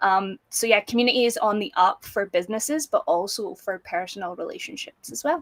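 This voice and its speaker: A woman's fairly high voice with a Scottish accent, lively intonation, and a fairly quick pace, dry and close with no echo. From Scotland, small town. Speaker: business founder, community manager. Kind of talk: interview.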